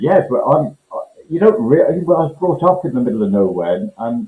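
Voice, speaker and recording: At a moderate pace, a man with a dark, mellow tone and vocal fry lets his pitch swing very widely. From Scotland. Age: 60s. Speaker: urban greening company director. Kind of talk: podcast interview. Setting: video call, indoors. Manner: halting, many repetitions.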